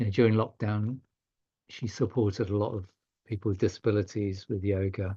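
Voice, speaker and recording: A man's somewhat breathy, dark, mellow voice, fairly low and fairly quick, in fairly even intonation over a quiet background. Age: 60s. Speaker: yoga teacher and charity leader. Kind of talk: podcast interview. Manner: halting.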